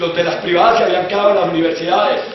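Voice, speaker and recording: A man talks in an animated tone, with noticeable background noise and audible echo from the room. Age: 60s. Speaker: university professor and former student leader. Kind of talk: speech to a student assembly. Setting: university assembly. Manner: animated, exhorting.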